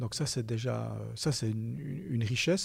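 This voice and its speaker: A man speaks at a fairly slow pace in a somewhat breathy voice. His pitch varies in an ordinary way, and the recording is very clean with a silent background. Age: 50s. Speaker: bank executive. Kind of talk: interview. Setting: studio. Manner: halting.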